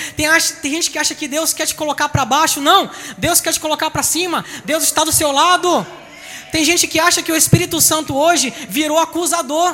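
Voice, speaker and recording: Raised and projected, a man's voice at an extremely high pitch rises over noticeable background noise. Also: fairly even intonation, fairly quick pace. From Bahia, Salvador. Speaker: pastor. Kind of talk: sermon.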